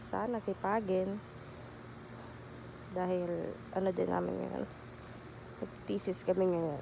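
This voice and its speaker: Speaking at a very slow pace, a woman takes her time. Her speech has long, frequent pauses. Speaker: vlogger. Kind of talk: casual vlog talk. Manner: halting, self-correcting.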